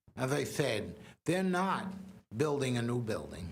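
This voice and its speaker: A man's somewhat breathy voice with very wide pitch swings at a fairly slow pace, with audible room echo. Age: 70s. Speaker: public commenter. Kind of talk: public comment speech.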